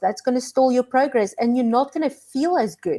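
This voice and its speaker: With a South African accent, a woman speaks at a fairly quick pace with ordinary pitch variation. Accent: Afrikaans South African. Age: 40s. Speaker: minimalist lifestyle content creator. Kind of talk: casual chat. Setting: live stream video call.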